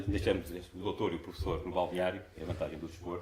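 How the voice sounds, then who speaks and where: A man talks at a very fast pace. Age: 60s. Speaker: conference speaker, amateur marathon runner. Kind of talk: conference talk.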